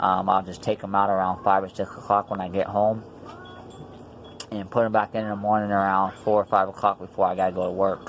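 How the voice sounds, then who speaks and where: Over noticeable background noise, a man with a fairly low voice talks at a fairly quick pace in a monotone, flat intonation. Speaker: denture wearer vlogger. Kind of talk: casual vlog. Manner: hesitant, many fillers.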